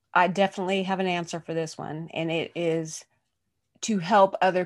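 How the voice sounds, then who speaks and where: With an American accent, a woman speaks at a moderate pace in a fairly low pitch, her intonation monotone and flat against a quiet background. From US Pacific Northwest (Oregon). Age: 40s. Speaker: podcast host and physical therapist. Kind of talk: casual interview.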